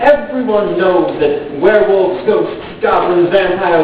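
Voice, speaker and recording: A man's high voice at a fairly slow pace, with lively intonation over noticeable background noise. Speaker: slam poet. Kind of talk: slam poetry performance. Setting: live event.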